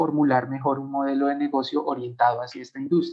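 A man with a Bogotá accent, fairly high pitch and fairly even intonation. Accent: Bogotá Colombian Spanish. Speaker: animation studio co-founder. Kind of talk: interview testimony.

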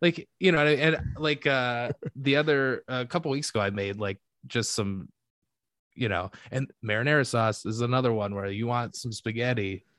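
A man with a Michigan accent speaks at a moderate pace in a medium pitch, with ordinary pitch variation over a quiet background. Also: dry, close sound with no echo. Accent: US Midwest (Michigan). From Michigan (Detroit). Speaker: comedian and podcaster. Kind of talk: casual chat.

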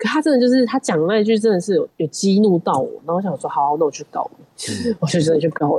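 A woman's very fast delivery with hardly any pauses and very wide pitch swings, over noticeable background noise. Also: medium pitch for a woman, dry, close sound with no echo. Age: young. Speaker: film producer and company founder. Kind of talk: casual interview.

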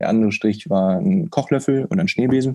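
His pitch makes very wide swings. The man's tone is dark and mellow. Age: 20s. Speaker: startup co-founder. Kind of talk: interview.

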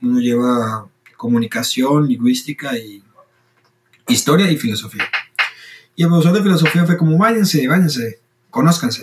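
A man speaks at a moderate pace with a fairly high, somewhat breathy voice. His pitch swings very widely, and he leaves long, frequent pauses. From Costa Rica. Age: 20s. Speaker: student and logistics worker sharing faith story. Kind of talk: testimony.

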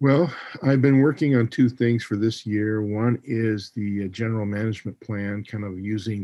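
A man speaks in a normal speaking voice at a moderate pace. His pitch sits fairly low. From Montana. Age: 60s. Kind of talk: interview.

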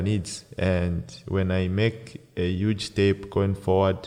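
The voice has a dark, mellow tone and fairly even intonation, set against a quiet background. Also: man. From Zambia, Copperbelt. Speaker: professional footballer. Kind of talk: casual interview. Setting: stadium. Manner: hesitant, many fillers.

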